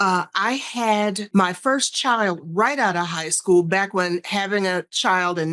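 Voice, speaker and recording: A woman has a plain, everyday voice with ordinary pitch variation. She goes at a fairly slow pace with hardly any pauses. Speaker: sales strategist and speaker. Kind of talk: interview.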